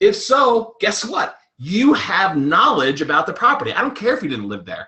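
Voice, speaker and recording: A man speaks with a slight New York accent. His pitch swings very widely. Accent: slight New York accent, shows on 'water'. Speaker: real estate investor and presenter. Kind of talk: webinar presentation. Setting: recorded webinar. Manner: fast.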